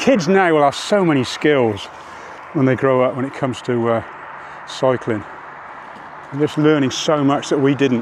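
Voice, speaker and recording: Over noticeable background noise, a man with a fairly high pitch and ordinary pitch variation speaks with long, frequent pauses. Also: moderate pace. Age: old. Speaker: cycling vlogger. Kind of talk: casual vlog monologue while riding. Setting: outdoors on a bike.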